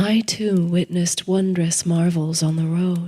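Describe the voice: A husky, put-on character voice at middle pitch, flat and monotone, at a moderate pace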